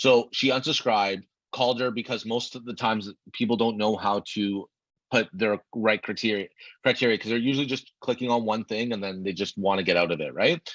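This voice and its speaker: A man talks at a fairly quick pace and a medium pitch, with ordinary pitch variation. The sound is dry with no echo, and the background is quiet. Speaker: real estate agent and sales coach; sales coach or trainer. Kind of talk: tutorial. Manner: fast. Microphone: webcam.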